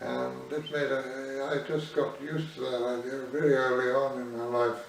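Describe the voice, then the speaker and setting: This man's fairly even intonation is heard amid noticeable background noise and audible room echo. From Isle of Man. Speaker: artist. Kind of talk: oral history interview. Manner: hesitant, with fillers.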